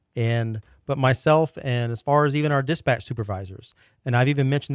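Recorded very cleanly against a silent background, a man talks at a very fast pace at a medium pitch with ordinary pitch variation, the sound dry and close with no echo. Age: 40s. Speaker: sheriff's office major. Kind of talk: casual interview.

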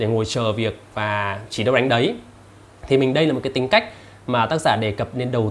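A man's plain, everyday voice at a fairly slow pace with ordinary pitch variation, on a very clean recording with a silent background. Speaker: YouTuber reviewing books. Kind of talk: casual vlog-style book summary.

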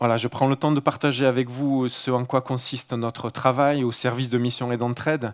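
A man speaks at a medium pitch with a Marseille accent and a monotone, flat intonation. His pace is moderate, with hardly any pauses. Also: dry, close sound with no echo. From Marseille, southern France. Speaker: mission worker and guest preacher. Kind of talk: sermon. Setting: church service with congregation. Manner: halting.

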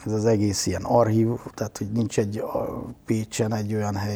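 A man talks at a fairly quick pace in a fairly low pitch. His tone is dark and mellow, and his intonation is monotone and flat. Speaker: media artist and cultural professional. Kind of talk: interview.

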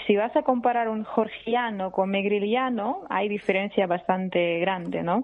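Amid noticeable background noise, a woman at medium pitch speaks at a fairly slow pace with hardly any pauses and ordinary pitch variation. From Russia. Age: young. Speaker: journalist. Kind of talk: interview.

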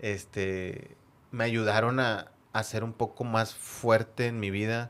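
The background is silent and the recording very clean. The words come out very slowly. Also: man. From Monterrey, Mexico (San Nicolás). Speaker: football fan, supporters' group member. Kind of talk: casual interview, personal stories. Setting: studio with headphones.

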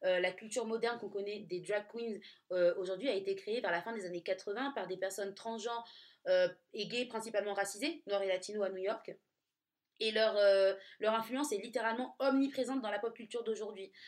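A normal speaking voice, a woman's fairly high pitch, fairly quick pace and fairly even intonation. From Nice, southern France. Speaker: podcast co-host. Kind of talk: casual chat.

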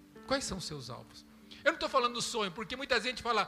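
With noticeable background noise behind him, a man uses a raised, projected voice at an extremely high pitch with lively intonation. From Brazil. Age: 50s. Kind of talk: sermon.

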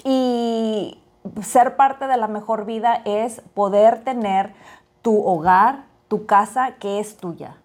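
A woman speaks very slowly at a fairly high pitch with ordinary pitch variation. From Monterrey, northern Mexico. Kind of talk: casual chat.

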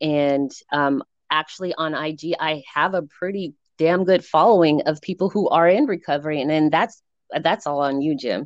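A woman's very deep, low voice with an American accent, moderate pace, ordinary pitch variation, and a dry, close sound with no echo. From Colorado, US. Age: 40s. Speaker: social media personality, former college athlete. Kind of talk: casual interview chat. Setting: video call.

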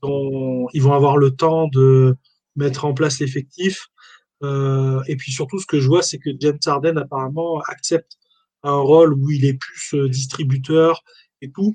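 A man speaks at a fairly slow pace in a fairly high, somewhat breathy voice with a dark, mellow tone. The sound is dry and close, with no echo. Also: fairly even intonation. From France, Valence (Drôme). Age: 40s. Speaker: sports memorabilia shop owner. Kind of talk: casual interview. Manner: hesitant, many fillers.

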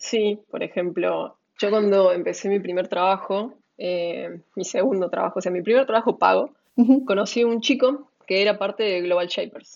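At a moderate pace, a woman speaks in a normal speaking voice. Her pitch is medium, with ordinary pitch variation. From Córdoba, Argentina. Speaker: entrepreneur. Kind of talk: interview.

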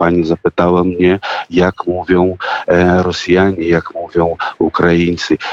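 A man with a very deep, low pitch, monotone, flat intonation, and a fairly slow pace, in a dry, close sound with no echo. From Russia. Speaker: singer and actor. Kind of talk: radio interview. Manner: halting.

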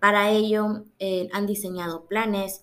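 A woman's medium-pitched voice unfolds very slowly. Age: 20s. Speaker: university student. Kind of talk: class presentation. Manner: hesitant, many fillers.

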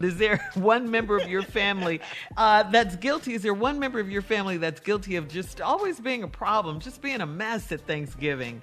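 Over music in the background, a woman of medium pitch talks at a fairly quick pace with lively intonation and hardly any pauses. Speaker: radio co-host. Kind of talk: casual chat.

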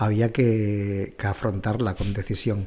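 A man's dark, mellow tone at a very slow pace. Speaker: podcast host, cooking content creator. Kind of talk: casual chat.

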